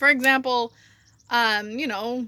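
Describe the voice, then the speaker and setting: A woman's voice is raised and projected. Her tone is bright and sharp. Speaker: writer. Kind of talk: casual talk to camera. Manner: ranting, conversational.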